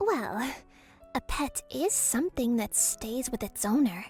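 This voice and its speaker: A woman's put-on character voice, high-pitched with lively intonation, over clear music in the background. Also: fairly slow pace. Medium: read story. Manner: haughty, teasing.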